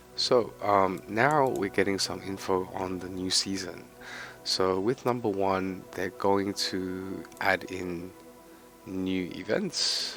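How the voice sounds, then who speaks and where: A man talks at a very slow pace in a very deep, low voice with fairly even intonation. Music plays in the background. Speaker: gaming content creator. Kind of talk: casual game commentary. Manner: quiet.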